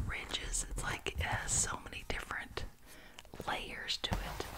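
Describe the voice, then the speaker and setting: A woman whispers, soft-spoken. Loud background noise is present. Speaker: ASMR creator. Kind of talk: soft show-and-tell ASMR chat. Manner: soft close-mic ASMR whisper. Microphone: studio mic.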